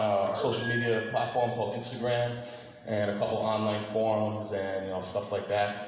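Man at a fairly quick pace, with audible room echo and noticeable background noise. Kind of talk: stage introduction. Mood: nervous but upbeat. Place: hall.

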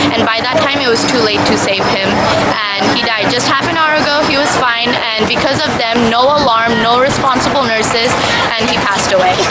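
Against loud background noise, a woman talks at a fairly quick pace with ordinary pitch variation. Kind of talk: interview answer. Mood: upset, earnest. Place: street. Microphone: phone near.

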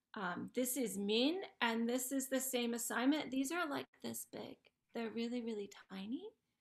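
Against a quiet background, a woman talks at a moderate pace. Her pitch is high, with ordinary variation. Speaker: ceramics teacher. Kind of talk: presentation. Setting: video call. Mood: warm, proud, chatty.

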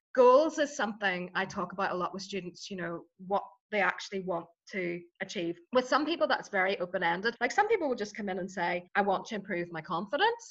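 A woman speaks at a fairly quick pace with lively intonation. Her tone is fairly bright.

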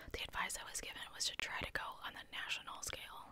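A soft-spoken woman whispers over noticeable background noise. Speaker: true crime storyteller. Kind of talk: true crime narration reading quotes. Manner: soft close-mic ASMR whisper. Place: home room. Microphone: studio mic.

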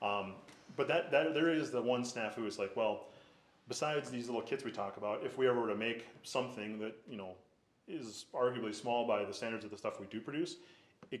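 This man's loudness swings widely as he talks at a fairly quick pace. His pitch is medium for a man and varies in an ordinary way. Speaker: business owner applying for a permit. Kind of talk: public hearing presentation. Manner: fast.

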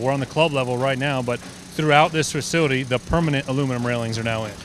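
Faint background noise sits behind a fairly quick delivery with a fairly bright tone and ordinary pitch variation. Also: man.

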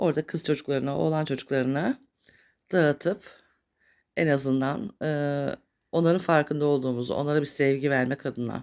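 A woman speaks at a fairly quick pace in a very deep, low voice with ordinary pitch variation. The recording is very clean, with a silent background. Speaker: YouTuber. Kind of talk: casual vlog monologue. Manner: halting, many filler sounds.

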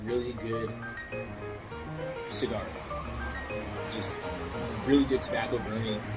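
A man speaks over loud music in the background. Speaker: cigar reviewer. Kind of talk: casual talk to camera. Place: garden. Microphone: phone near.

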